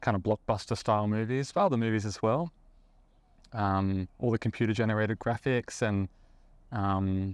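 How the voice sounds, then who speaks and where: In a very clean recording with a silent background and a dry, close sound with no echo, a man with an Australian accent talks at a moderate pace in a relaxed tone, his pitch fairly low. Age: 30s. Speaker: IT worker in visual effects, live sound engineer. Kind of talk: casual interview. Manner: relaxed, with frequent fillers.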